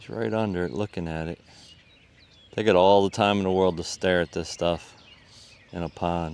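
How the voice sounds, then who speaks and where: A man with a very deep, low voice speaks at a moderate pace in a relaxed tone, with ordinary pitch variation. His speech has long, frequent pauses. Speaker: fishing video creator. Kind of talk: outdoor fishing commentary. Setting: outdoors at a pond. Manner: casual, relaxed.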